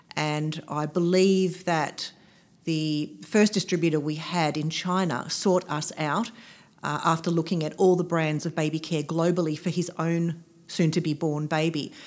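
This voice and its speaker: On a very clean recording with a silent background, a woman with an Australian accent speaks at a fairly low pitch, fairly slowly, with fairly even intonation. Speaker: businesswoman and aromatherapist. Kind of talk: interview.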